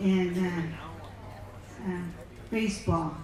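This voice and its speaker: A woman's medium-pitched voice in a monotone, flat intonation, with audible room echo and noticeable background noise. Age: 70s. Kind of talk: personal talk with slides. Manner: halting.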